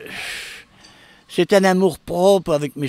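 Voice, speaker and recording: A man speaks at a very slow pace. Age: 80s+. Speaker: horse breeder. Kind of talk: interview. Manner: halting.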